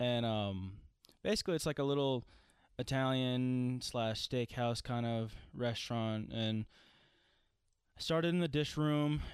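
A man at medium pitch, speaking at a fairly slow pace with long, frequent pauses, very even loudness and ordinary pitch variation. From Tennessee. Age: 20s. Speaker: podcast host and cook. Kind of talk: casual chat.

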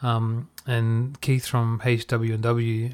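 Speaking in a monotone with flat intonation and an Australian accent, a man with a medium pitch is heard in a very clean recording with a silent background. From Australia, Perth. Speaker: podcast host and music producer. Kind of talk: casual chat.

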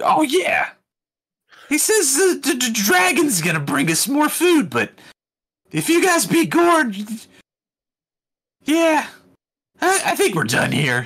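A man speaks in a put-on character voice, pitched extremely high, at a very slow pace with long, frequent pauses. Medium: actual play. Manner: blunt.

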